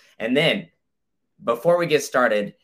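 Lively intonation runs through a man's normal speaking voice. He keeps a moderate pace. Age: 20s. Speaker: podcast host. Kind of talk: sponsor read; casual chat.

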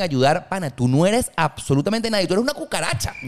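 In a plain, everyday voice, a man speaks at a fairly quick pace with lively intonation. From Venezuela (Valencia). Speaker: podcast host. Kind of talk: casual chat.

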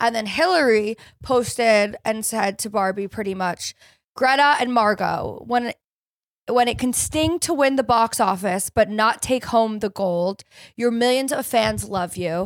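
At a fairly slow pace, a woman with an American accent and an ordinary speaking voice talks at a fairly high pitch with ordinary pitch variation, in a dry, close sound with no echo and a very clean recording with a silent background. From California. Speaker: podcast host. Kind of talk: casual chat.

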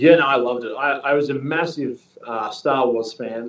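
A man's ordinary speaking voice with ordinary pitch variation. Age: 30s. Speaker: actor. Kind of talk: interview.

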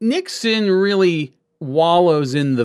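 Lively intonation runs through this man's speech. The recording is very clean, with a silent background. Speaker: political historian. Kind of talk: interview.

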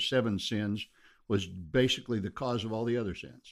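On a very clean recording with a silent background, a man with an American accent speaks in a fairly low voice with fairly even intonation. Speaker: pastor. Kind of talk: interview conversation.

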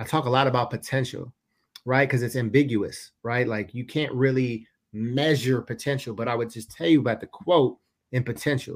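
A man talks at a fairly quick pace with a medium pitch, on a very clean recording with a silent background. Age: 30s. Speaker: motivational speaker and entrepreneur. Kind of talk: casual chat. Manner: animated.

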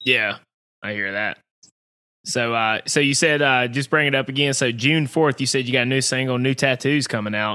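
A man with a Southern US accent, bright and sharp in tone, medium in pitch, at a moderate pace with fairly even intonation. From US Southeast. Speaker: podcast host. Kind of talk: casual chat.

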